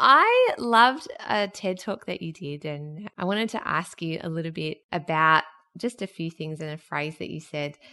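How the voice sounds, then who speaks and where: A woman at a moderate pace with an Australian accent, her tone bright and sharp, her loudness swinging widely. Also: ordinary pitch variation. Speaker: podcast host. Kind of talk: interview. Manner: laughs a lot.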